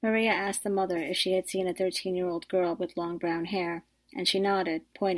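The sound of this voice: The intonation stays fairly even throughout this unforced reading voice.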